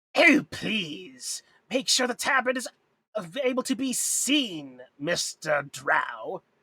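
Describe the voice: A put-on character voice speaks at a fairly high pitch. Its pace is very slow.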